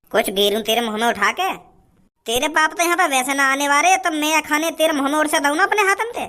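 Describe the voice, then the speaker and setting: Putting on a cartoonish character voice, a woman races along at a very fast pace with a high pitch and very wide pitch swings. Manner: teasing, self-righteous.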